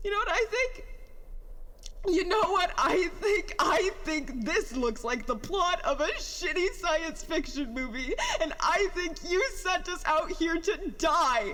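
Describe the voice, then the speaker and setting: A put-on character voice comes through at an extremely high pitch. It moves at a fairly slow pace over clear background noise. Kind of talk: audio drama monologue. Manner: emotional, distressed, tearful.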